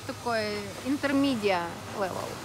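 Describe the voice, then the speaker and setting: Over noticeable background noise, a woman speaks at a fairly slow pace with lively intonation. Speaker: interviewer at wake park. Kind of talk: interview questions. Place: waterside.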